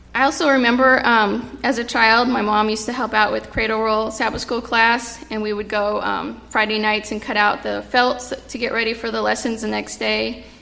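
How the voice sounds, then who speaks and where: A woman with an American accent and a fairly high pitch speaks at a moderate pace in a monotone, flat way with hardly any pauses, amid noticeable background noise and audible room echo. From California. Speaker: children's ministry leader and occupational therapist. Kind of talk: sermon. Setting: church. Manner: halting.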